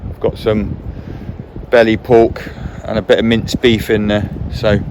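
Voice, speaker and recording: A man with a medium-pitched voice talks against noticeable background noise. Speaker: hunter and outdoor vlogger. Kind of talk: vlog narration. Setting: outdoors in woods.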